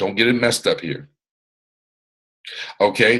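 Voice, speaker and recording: This man speaks at medium pitch with vocal fry. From US South, Atlanta, Georgia. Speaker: MLM business mentor. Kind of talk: motivational training talk. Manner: animated, loud at times.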